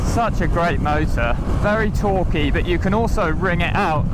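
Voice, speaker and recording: Audible room echo and noticeable background noise surround a man talking at a moderate pace. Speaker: motorcycle reviewer. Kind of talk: ride review commentary while riding. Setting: outdoors on a motorbike. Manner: animated.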